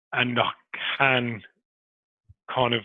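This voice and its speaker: The man's intonation stays monotone and flat. His voice sits at a medium pitch. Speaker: person who stammers, fan media contributor. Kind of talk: interview answer. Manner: hesitant, with fillers.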